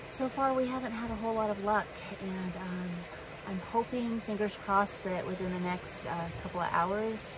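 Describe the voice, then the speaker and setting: The voice comes at a moderate pace in a dry sound with no echo, with noticeable background noise. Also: woman. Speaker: travel vlogger. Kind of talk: casual vlog chat. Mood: cheerful, secretive. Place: car. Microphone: phone near.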